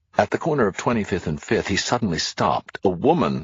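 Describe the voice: What the clip offers is plain reading aloud.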